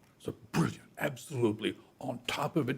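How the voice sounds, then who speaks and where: This man has a dark, mellow tone with vocal fry and keeps a moderate pace. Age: 70s. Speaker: investment advisor. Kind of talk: casual chat. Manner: animated.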